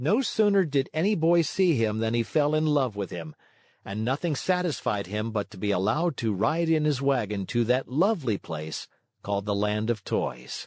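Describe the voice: In a dry, close sound with no echo, a man speaks at a moderate pace in a slightly mellow, medium-pitched voice with lively intonation.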